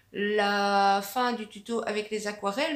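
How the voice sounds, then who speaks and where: With noticeable background noise and audible room echo, a woman talks in a fairly high pitch using fairly even intonation. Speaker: arts and crafts YouTuber. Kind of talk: casual vlog answering viewer questions. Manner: hesitant, many fillers (euh, ben).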